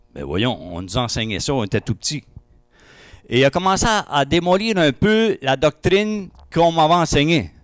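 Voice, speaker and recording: This man has an Acadian accent and a fairly high pitch. His voice moves in very wide pitch swings. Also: moderate pace. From Acadia (New Brunswick, Madawaska). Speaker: testimony speaker at church breakfast. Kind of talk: testimony. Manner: hesitant, many fillers.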